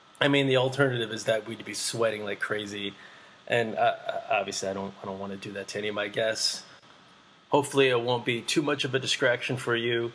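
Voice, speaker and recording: Amid noticeable background noise, a man talks at a very fast pace in a medium pitch, with fairly even intonation. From Vietnam-born, raised in Boston. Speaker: podcast host. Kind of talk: casual conversation. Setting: home, air conditioner humming in the background. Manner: halting, many fillers.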